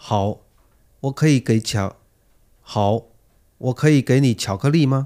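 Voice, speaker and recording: In a very clean recording with a silent background and a dry, close sound with no echo, a man with a medium pitch and a dark, mellow tone speaks at a very slow pace with long, frequent pauses. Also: ordinary pitch variation. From China. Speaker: language textbook dialogue performer. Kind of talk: reading scripted role-play dialogue aloud; casual chat.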